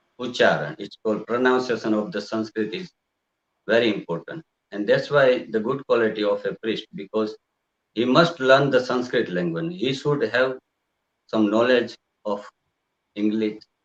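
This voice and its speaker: Here a man with a medium pitch speaks at a moderate pace, his intonation lively. Long, frequent pauses break up his speech, and the sound is dry and close with no echo. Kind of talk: interview. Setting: live video broadcast. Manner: halting.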